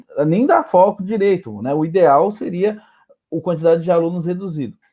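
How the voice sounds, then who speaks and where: The man's voice has a dark, mellow tone. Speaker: teacher, debate moderator. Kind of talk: panel discussion.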